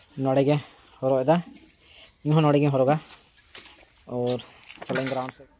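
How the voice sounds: A man talks fairly slowly at a medium pitch with little pitch movement. His tone is dark and mellow.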